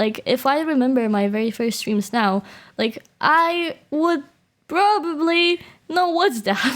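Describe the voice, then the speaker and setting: A woman with a Polish accent speaks at a high pitch and fairly slow pace, her pitch swinging very widely while her loudness stays very even. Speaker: VTuber streamer. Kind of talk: casual chat. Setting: live stream.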